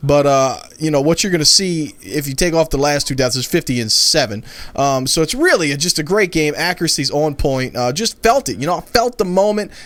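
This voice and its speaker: Fairly quick, lively speech from a man with a fairly high pitch, amid noticeable background noise. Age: 20s. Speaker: gaming youtuber and salesman. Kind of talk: gameplay commentary. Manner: fast; casual.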